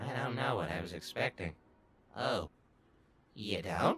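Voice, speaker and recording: A raspy, low-pitched, put-on character voice at a moderate pace. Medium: dub.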